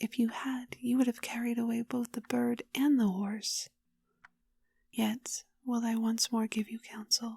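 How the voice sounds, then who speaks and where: Soft-spoken and gentle, the voice has a dark, mellow tone and flat, monotone intonation. It moves at a fairly slow pace with a dry, close sound and no echo. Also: woman. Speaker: ASMR storyteller. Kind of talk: bedtime story reading. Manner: soft-spoken, gentle, calming.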